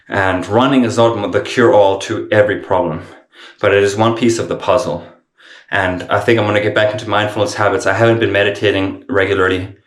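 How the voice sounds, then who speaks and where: A man talks at a fairly quick pace with a fairly low pitch and fairly even intonation. Room echo is audible. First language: not English. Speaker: vlogger in addiction recovery. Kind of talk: casual vlog monologue. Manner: halting, with self-corrections.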